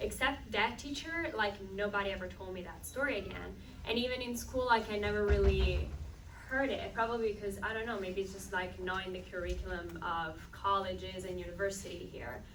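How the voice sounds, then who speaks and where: A woman speaks with an Italian accent, with audible room echo and noticeable background noise. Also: fairly quick pace. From Italy. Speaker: film director. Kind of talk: panel Q&A answer. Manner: casual, filler-heavy.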